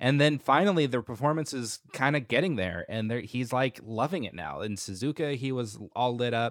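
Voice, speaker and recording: An ordinary speaking voice with an American accent moves at a moderate pace with lively intonation. The recording is very clean, with a silent background. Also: man, medium pitch for a man. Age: 30s. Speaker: F1 podcast host. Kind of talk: casual chat.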